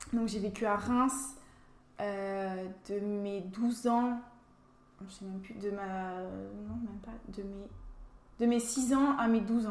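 Recorded with audible room echo and noticeable background noise, a woman of medium pitch speaks at a very slow pace with fairly even intonation, big swings in loudness and long, frequent pauses. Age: 20s. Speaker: beauty pageant winner and dental student. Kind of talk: interview.

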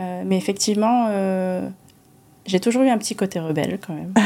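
A female speaker delivers her words fairly quickly, her intonation fairly even and her pitch medium. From Monaco. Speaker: business association president. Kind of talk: interview. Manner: hesitant.

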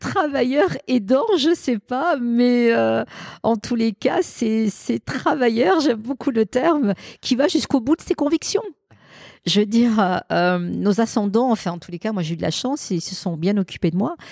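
Slowish and fairly high-pitched, a woman swings her pitch very widely in a dry, close sound with no echo. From Marseille, southern France. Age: 50s. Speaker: business executive. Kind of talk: interview. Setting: event venue in Marseille.

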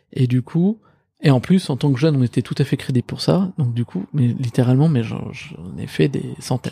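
Speaking at a moderate pace, a man with a medium pitch and a dark, mellow tone sounds somewhat breathy, his intonation lively. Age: 30s. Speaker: startup founder. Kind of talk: casual interview. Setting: office.

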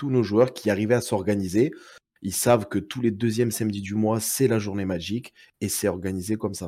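A man with a southern French accent, fairly low in pitch, with a dark, mellow tone, a fairly quick pace and fairly even intonation, on a very clean recording with a silent background. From southern France, Perpignan. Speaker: card game community organizer. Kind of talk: casual chat.

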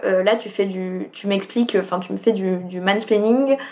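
The woman's delivery holds a moderate speed. Her intonation changes little. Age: 20s. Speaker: social sciences student. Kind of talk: interview. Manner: casual, hesitant with fillers.

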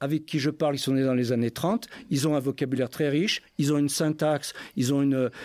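A man's fairly high voice at a moderate pace, very even in loudness, on a very clean recording with a silent background. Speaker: retired geologist and linguist. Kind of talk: panel talk at public event. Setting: stage with audience. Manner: halting.

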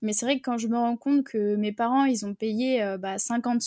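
Recorded very cleanly against a silent background, a woman speaks at a fairly high pitch with ordinary pitch variation, the sound dry and close with no echo. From France, Bordeaux. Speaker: online business coach. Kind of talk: interview. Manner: hesitant, many fillers. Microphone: new microphone.

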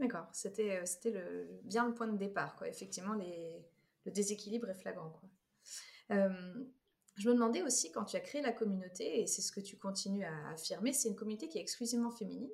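This woman's voice is somewhat breathy and medium-pitched, moving at a fairly quick pace with ordinary pitch variation. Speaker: podcast host. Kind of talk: podcast interview.

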